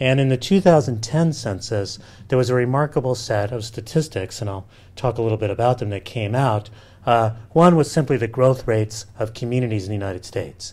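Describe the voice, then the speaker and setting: A man talks at a medium pitch, somewhat breathy. His pitch varies in an ordinary way. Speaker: professor and demographer. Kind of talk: lecture. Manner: casual, halting with fillers.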